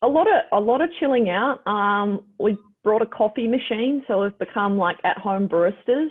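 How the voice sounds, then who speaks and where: A woman with a New Zealand accent talks at a medium pitch with ordinary pitch variation. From New Zealand, Christchurch. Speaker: professional basketball player. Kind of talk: casual interview.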